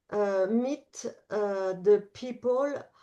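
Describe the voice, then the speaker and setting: A woman speaks with a French accent in a dark, mellow tone, her pitch varying in an ordinary way. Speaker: national secretary of a travel organization. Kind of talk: presentation in an online forum. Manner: halting, many hesitations.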